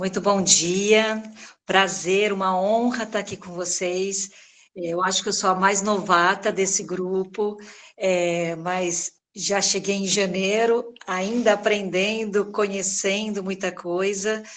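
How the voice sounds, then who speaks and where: A woman's very slow, monotone delivery, flat in intonation, at a medium pitch. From São Paulo, Brazil. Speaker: head of a children's agency regional office. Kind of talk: welcome speech in online meeting. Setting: video call.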